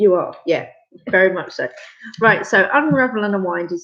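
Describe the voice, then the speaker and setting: A woman with an English accent. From England. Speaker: craft space founder. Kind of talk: casual chat. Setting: live video stream. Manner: hesitant, many fillers.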